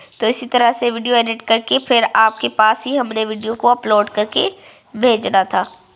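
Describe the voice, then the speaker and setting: With monotone, flat intonation, a woman talks at a fairly high pitch. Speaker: home vlogger. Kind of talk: casual vlog narration. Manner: casual, halting with fillers.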